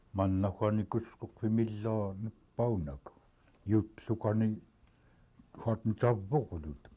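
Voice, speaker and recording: Very slow, with long, frequent pauses, a man talks in a fairly low pitch with a dark, mellow, somewhat breathy tone. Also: ordinary pitch variation. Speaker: community elder. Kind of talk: oral history interview.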